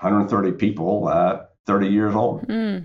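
Here is a man with a plain, everyday voice, fairly low in pitch, speaking in an American accent with ordinary pitch variation. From US South, central North Carolina. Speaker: tech executive, military veteran. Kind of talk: interview.

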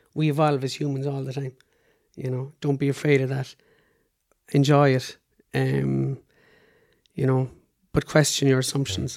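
Speaking in an Irish accent, a man at medium pitch keeps a moderate pace and a monotone, flat intonation, with long, frequent pauses. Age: 40s. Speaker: PhD researcher and cystic fibrosis patient. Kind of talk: interview. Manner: halting.

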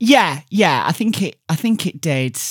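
A woman's voice with a slight Yorkshire accent and lively intonation, recorded very cleanly against a silent background. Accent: Yorkshire accent, mild. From Yorkshire, Barnsley. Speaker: radio DJ. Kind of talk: casual interview chat.

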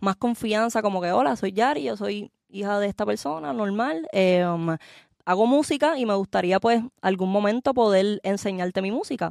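Her normal speaking voice sits at a medium pitch as the woman talks at a fairly quick pace with ordinary pitch variation, in a very clean recording with a silent background and a dry, close sound with no echo. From Puerto Rico. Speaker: singer. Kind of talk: interview.

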